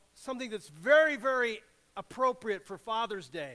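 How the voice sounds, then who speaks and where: A man uses a raised, projected voice with a bright, sharp tone. He keeps a moderate pace. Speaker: preacher. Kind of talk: sermon. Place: church.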